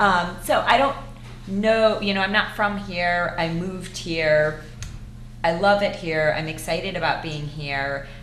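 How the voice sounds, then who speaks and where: A woman with an American accent and a fairly low pitch speaks at a fairly slow pace with ordinary pitch variation, over audible room echo and noticeable background noise. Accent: Buffalo accent, people notice it. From Buffalo, New York. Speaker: elected school board member. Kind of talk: interview.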